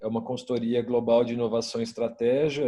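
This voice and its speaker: At a moderate pace, a man with a Minas Gerais accent speaks at a medium pitch in a dark, mellow tone. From Brazil, Minas Gerais. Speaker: innovation consultant. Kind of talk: panel discussion.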